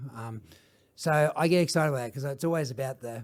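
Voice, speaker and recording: Speaking in an Australian accent at a fairly quick pace, a man uses a medium pitch with ordinary pitch variation and a somewhat breathy sound. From Australia, Melbourne. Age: 50s. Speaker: social enterprise founder. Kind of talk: podcast interview. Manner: animated.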